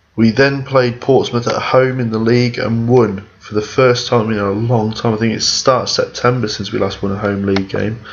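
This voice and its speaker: Over noticeable background noise and audible room echo, a man speaks at a medium pitch and moderate pace with monotone, flat intonation. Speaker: gaming YouTuber. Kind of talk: video game commentary. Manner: hesitant, many fillers.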